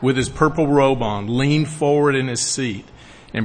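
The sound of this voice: This is an unforced reading voice. It carries on throughout the clip.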